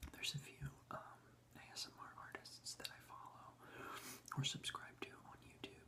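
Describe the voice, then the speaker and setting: A man whispers at a moderate pace, leaving long, frequent pauses. His loudness swings widely. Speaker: ASMR creator. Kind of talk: ASMR rambling talk. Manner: whispered, soft-spoken.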